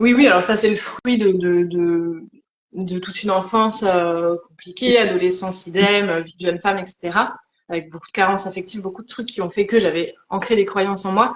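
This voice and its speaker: A woman's normal speaking voice, medium in pitch, at a moderate pace, with fairly even intonation and big swings in loudness. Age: 30s. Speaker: life coach. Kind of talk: live interview conversation.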